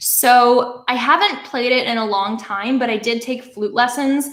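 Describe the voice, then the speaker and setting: A woman speaks in a high voice. Noticeable background noise can be heard. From Canada. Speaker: YouTuber. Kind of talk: livestream Q&A. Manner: casual, filler-heavy.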